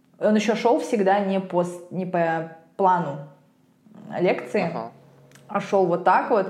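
A medium-pitched woman's voice at a very slow pace, with ordinary pitch variation, long, frequent pauses and audible room echo. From Russia. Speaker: podcast host, lawyer, English teacher. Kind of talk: casual chat. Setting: call.

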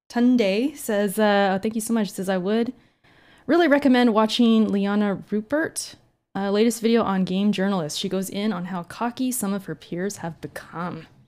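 With an unremarkable speaking voice, a woman talks at a moderate pace and medium pitch, her pitch varying in an ordinary way. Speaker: podcast host. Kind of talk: casual chat. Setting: live stream.

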